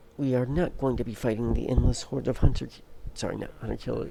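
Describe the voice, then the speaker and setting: A man is heard over noticeable background noise. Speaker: gaming streamer. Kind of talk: live gameplay commentary. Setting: live stream. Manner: slightly slurred speech.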